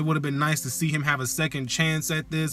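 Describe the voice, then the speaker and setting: A man with a fairly high pitch speaks while music plays in the background. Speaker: YouTube commentator. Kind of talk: vlog commentary. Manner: fast; articulate.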